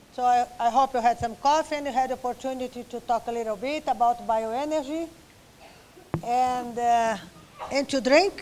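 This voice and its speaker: A woman speaks at a moderate pace in a high pitch with fairly even intonation, with light background noise behind her. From Brazil. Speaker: professor. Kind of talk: lecture. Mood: light, joking. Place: hall. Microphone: podium.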